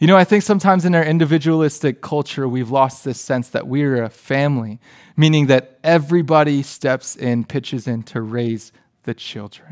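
Here a man has an ordinary speaking voice, a fairly high pitch, ordinary pitch variation and a moderate pace. The recording is very clean with a silent background. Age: 30s. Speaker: youth pastor. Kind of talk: sermon.

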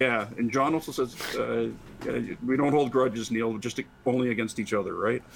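A man with an ordinary speaking voice and medium pitch talks at a moderate pace, keeping his intonation fairly even.

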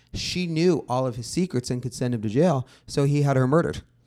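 Recorded very cleanly against a silent background, a man with an unremarkable speaking voice talks at a fairly quick pace, medium pitch and ordinary pitch variation. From Los Angeles, San Fernando Valley. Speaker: music journalist. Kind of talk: casual chat.

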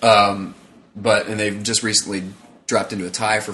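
Fairly low in pitch, a man with an ordinary speaking voice talks at a fairly quick pace. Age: 20s. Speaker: sports podcast co-host. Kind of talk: casual chat. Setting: home recording with friends present.

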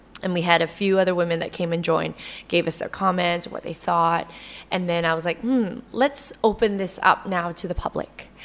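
A woman speaks in an ordinary speaking voice, fairly low in pitch, at a moderate pace with ordinary pitch variation. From Canada. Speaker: actress and entrepreneur. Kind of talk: casual interview.

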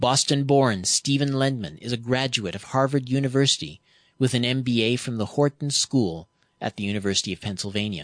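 This man talks at a fairly quick pace in a plain, everyday voice. His pitch is medium, with ordinary pitch variation. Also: dry, close sound with no echo. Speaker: radio host. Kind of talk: radio interview.

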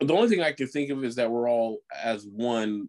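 Pitch varying in an ordinary way, a man talks at a fairly quick pace. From US suburb. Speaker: podcast co-host. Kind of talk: casual chat.

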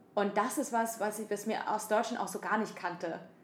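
Over noticeable background noise, a woman speaks fairly quickly at medium pitch in a monotone, flat intonation. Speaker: podcast co-host. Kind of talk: casual chat. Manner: halting, many fillers.

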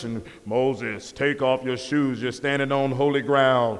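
Booming at a moderate pace, a man performs a put-on character voice over light background noise. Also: medium pitch for a man.

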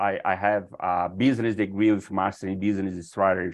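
A man speaks with a Brazilian accent at a fairly low pitch. The background is quiet. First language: Portuguese. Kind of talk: interview. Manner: halting.

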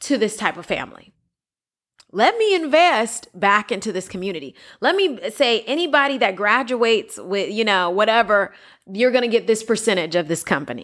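The recording is very clean, with a silent background. A woman with a fairly high pitch speaks in very wide pitch swings. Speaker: diversity and inclusion director. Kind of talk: casual chat.

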